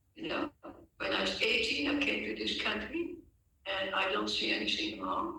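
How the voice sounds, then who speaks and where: A man's voice against noticeable background noise. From Netherlands. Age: 80s+. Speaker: religious teacher. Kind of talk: lecture. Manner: halting.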